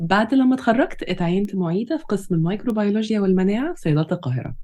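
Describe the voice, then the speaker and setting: Noticeable background noise sits behind a woman speaking at a medium pitch. Her pitch swings very widely. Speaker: pharmacy lecturer and podcast co-host. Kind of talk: scripted introduction.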